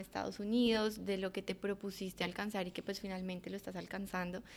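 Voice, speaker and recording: At a fairly quick pace, a woman of medium pitch talks in a monotone, flat intonation. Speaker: podcast host. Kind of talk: casual chat.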